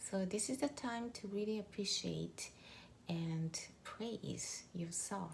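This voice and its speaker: Somewhat breathy, a woman with a Japanese accent talks at a very slow pace. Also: medium pitch for a woman, ordinary pitch variation. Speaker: mindset coach. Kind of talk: motivational talk. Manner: conversational, many fillers.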